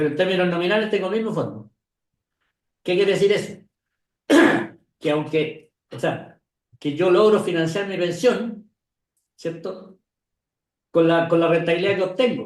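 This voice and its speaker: A man with a high pitch talks with long, frequent pauses. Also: ordinary pitch variation, moderate pace. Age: 70s. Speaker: retired pension industry expert. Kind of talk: interview conversation.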